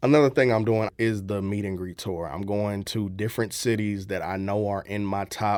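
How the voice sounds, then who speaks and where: Speaking with a St. Louis accent, a man uses a fairly low pitch, moderate pace and fairly even intonation in a very clean recording with a silent background. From US Midwest, St. Louis, Missouri. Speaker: content creator and voice-over artist. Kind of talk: radio interview. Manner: casual, hesitant with fillers.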